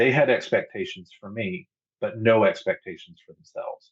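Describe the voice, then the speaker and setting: A man with an American accent. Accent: Southern US accent, fades in academic talk. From US South. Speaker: podcast guest, pagan. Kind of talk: casual interview chat. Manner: rambling, conversational.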